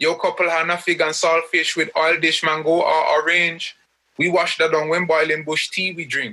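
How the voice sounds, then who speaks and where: A man speaks at a moderate pace and a high pitch, with a bright, sharp tone. His intonation is monotone and flat. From Grenada. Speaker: poet. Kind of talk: poetry reading. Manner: rhythmic.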